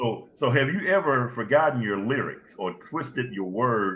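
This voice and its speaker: A man has an ordinary speaking voice at a medium pitch. He speaks at a fairly slow pace with lively intonation. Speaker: talk show co-host and singer. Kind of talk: interview.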